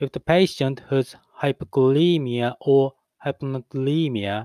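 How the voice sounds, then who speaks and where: A man's medium-pitched voice with a non-native accent at a fairly slow pace, in a dry, close sound with no echo. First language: not English. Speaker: English learner practicing pronunciation. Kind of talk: reading aloud.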